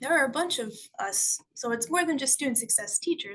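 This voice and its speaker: This woman's voice has a bright, sharp tone and a Canadian accent. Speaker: school board staff presenter. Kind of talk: virtual information session presentation. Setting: video call. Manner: fast.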